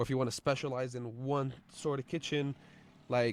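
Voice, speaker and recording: In a dry, close sound with no echo, a man with an ordinary speaking voice and medium pitch talks at a fairly quick pace. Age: 20s. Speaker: podcaster and line cook. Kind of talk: casual monologue. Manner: casual with many fillers and repetitions.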